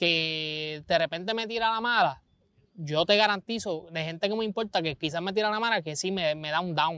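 In a very clean recording with a silent background, a man with a Puerto Rican accent speaks in a bright, sharp tone with ordinary pitch variation, the sound dry and close with no echo. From Puerto Rico, Vega Baja. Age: 20s. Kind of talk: casual chat. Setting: outdoors.

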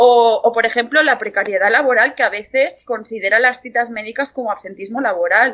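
A woman talks in a normal speaking voice at a fairly high pitch. She moves at a fairly quick pace with ordinary pitch variation. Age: 20s. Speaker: psychology student and mental health patient. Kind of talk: interview testimony.

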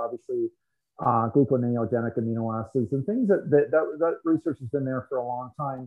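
Speaking fairly quickly in a normal speaking voice, a man with a Canadian accent holds a medium pitch. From Canada, Toronto area. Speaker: sports nutrition industry figure. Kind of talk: interview conversation.

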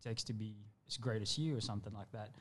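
A man talks at medium pitch. The background is silent and the recording very clean. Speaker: podcast co-host. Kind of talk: casual chat.

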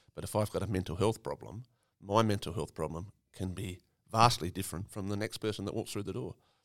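A man with an Australian accent speaks at a fairly low pitch with ordinary pitch variation, in a very clean recording with a silent background. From South Australia, Eyre Peninsula. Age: 50s. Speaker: farmer and volunteer ambulance officer. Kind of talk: interview conversation. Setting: recorded on location in a country town.

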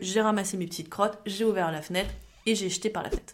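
A woman with a plain, everyday voice and fairly even intonation. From Champagne-Ardenne, France. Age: 30s. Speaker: IT worker. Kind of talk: casual anecdote testimony.

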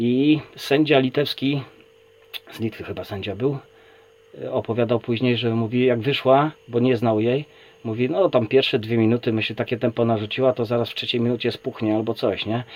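A man with a plain, everyday voice and medium pitch talks at a moderate pace with fairly even intonation. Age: 40s. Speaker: kettlebell athlete and coach. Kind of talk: casual chat.

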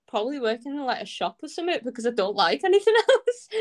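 A woman with a Scouse accent and very wide pitch swings. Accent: sounds somewhat Scouse. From Anglesey, north Wales. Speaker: singer-songwriter. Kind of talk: casual interview chat. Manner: animated, lots of fillers.

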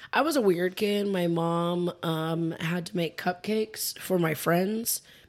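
In an ordinary speaking voice, a woman talks at a fairly slow pace with fairly even intonation. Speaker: guest co-host. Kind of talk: casual chat. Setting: studio.

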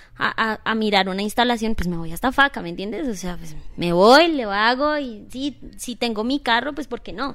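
On a very clean recording with a silent background, a woman with a normal speaking voice, fairly high in pitch, talks at a moderate pace with hardly any pauses, lively intonation and big swings in loudness. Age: 30s. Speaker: dance studio owner. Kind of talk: casual interview.

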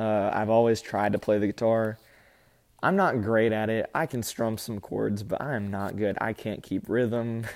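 Here a man talks with an Alabama accent at a moderate pace. His pitch is medium and his intonation fairly even. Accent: Southern US (Alabama). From Alabama, US South. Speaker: podcast host. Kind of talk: casual solo podcast talk. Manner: halting, many fillers.

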